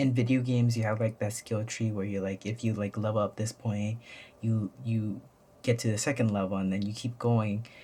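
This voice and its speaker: At a moderate pace, a man speaks in a flat monotone, his fairly low voice somewhat breathy with a dark, mellow tone. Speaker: YouTuber. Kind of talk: casual vlog monologue. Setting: at home. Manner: halting, many fillers.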